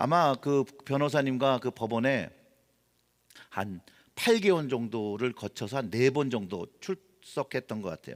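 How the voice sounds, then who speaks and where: Over a silent background in a very clean recording, a man talks at a very slow pace with lively intonation. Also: medium pitch for a man, dry, close sound with no echo. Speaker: pastor. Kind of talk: sermon. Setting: church.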